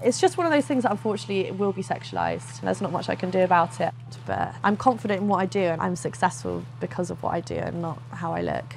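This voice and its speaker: Over music in the background, a woman talks at a very fast pace with very wide pitch swings and hardly any pauses. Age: 20s. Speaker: ASMR YouTuber. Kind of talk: casual talk to camera. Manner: casual, conversational.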